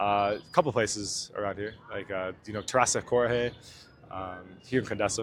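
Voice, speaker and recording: A man with an American accent has an ordinary speaking voice at a fairly low pitch. He keeps a moderate pace and fairly even intonation. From United States. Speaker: dating coach. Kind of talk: casual vlog talk to camera; casual chat with stranger. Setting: outdoors in a park. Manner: casual, filler-heavy.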